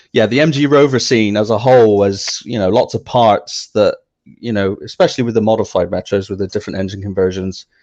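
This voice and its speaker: A man's fairly low voice with a West Country accent, fairly quick in pace, over a quiet background. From South West England, Somerset. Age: young. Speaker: car enthusiast, website owner. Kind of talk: interview.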